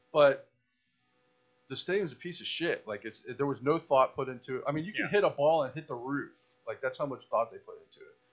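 Faint music plays in the background as a man talks very fast with an American accent. His loudness swings widely. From Tampa, Florida; Florida. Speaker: podcast co-host. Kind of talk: casual chat. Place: home room. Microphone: studio mic.

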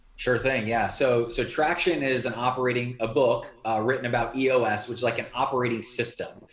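With audible room echo, a man with an American accent speaks in fairly even intonation. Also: moderate pace, hardly any pauses. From Indiana, US Midwest. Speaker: entrepreneur and business coach; business coach. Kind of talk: interview conversation. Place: home room. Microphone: video call.

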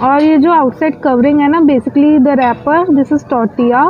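The speech moves at a fairly slow pace with fairly even intonation. Faint background noise sits underneath. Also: woman, high pitch for a woman.

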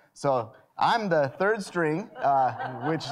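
There is light background noise. The voice belongs to a man. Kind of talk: worship announcements. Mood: friendly, light humor. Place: church.

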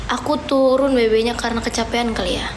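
A woman speaks at a fairly quick pace and high pitch in a weary tone with monotone, flat intonation. Noticeable background noise sits behind her. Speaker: livestreamer. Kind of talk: casual livestream chat. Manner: weak, weary voice of a sick person. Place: home room. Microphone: phone near.

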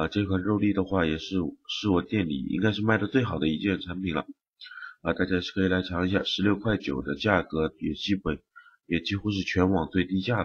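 This man's voice is very deep and low, and somewhat breathy. He talks at a fairly quick pace. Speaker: game streamer commentator. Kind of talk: gameplay commentary video.

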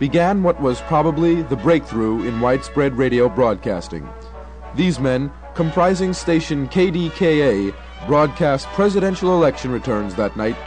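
Over clear background music, a man talks at a moderate pace with lively intonation. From Bayside, New York. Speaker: radio announcer. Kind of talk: documentary narration. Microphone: old recording.

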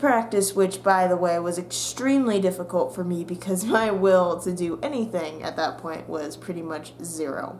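A woman talks at a moderate pace with hardly any pauses, ordinary pitch variation and light background noise. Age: young. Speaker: YouTuber and college student; YouTuber. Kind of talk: casual vlog monologue. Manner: animated. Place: home room. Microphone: webcam.

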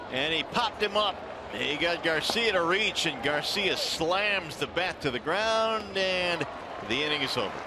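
With an excited tone, a man speaks at a fairly slow pace and high pitch, with ordinary pitch variation and very even loudness, in a dry sound with no echo over noticeable background noise. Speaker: baseball play-by-play announcer. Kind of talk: sports commentary. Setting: broadcast booth. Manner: brisk, clipped calls rising to excited bursts on big plays. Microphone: headset.

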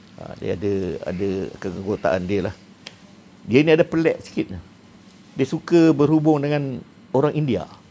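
A man speaks at a moderate pace with long, frequent pauses, big swings in loudness and very wide pitch swings. Light background noise is present. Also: fairly high pitch for a man. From Malaysia. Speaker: retired police officer; guest. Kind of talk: casual chat. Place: studio. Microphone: lapel.

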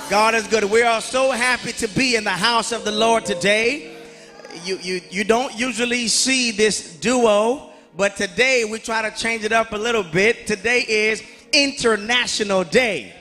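Faint music plays behind a man's raised, projected voice. He talks at a fairly slow pace with fairly even intonation. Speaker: service host at lectern. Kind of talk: church service welcome. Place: church. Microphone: handheld.

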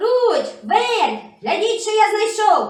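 Pitched extremely high, a cartoonish character voice speaks at a very slow pace with a slight echo. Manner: brisk, hearty.

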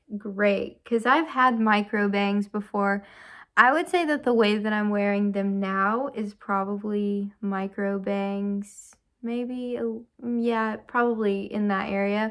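Over a quiet background, a woman talks at a very slow pace. Her intonation stays fairly even. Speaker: vlogger. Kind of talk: casual vlog chat. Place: home room.

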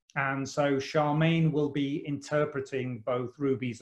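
A man with a British accent, fairly high in pitch, fairly even in intonation and very slow in pace, against a quiet background. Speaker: college principal and event host. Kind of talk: online interview webinar. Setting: video call from home. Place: home room. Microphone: video call.

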